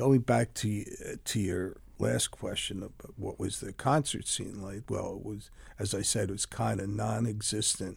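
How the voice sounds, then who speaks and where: Vocal fry runs through a man's fairly low voice, which shows ordinary pitch variation. The recording is very clean, with a silent background. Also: moderate pace. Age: 70s. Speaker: concert promoter. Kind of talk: interview. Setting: studio.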